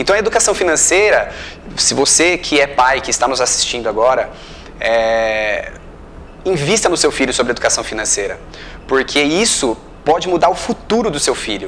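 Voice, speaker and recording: With noticeable background noise behind him, a man speaks at a moderate pace in a fairly high pitch, his voice swinging very widely up and down, broken by long, frequent pauses. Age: 30s. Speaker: interviewer. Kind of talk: interview.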